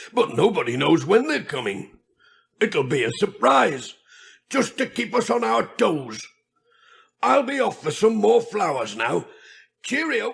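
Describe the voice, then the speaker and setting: A man puts on a raspy character voice pitched high for a man, moving at a fairly slow pace. Long pauses come often, and the recording is very clean over a silent background. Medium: read story. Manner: cheerful, chatty.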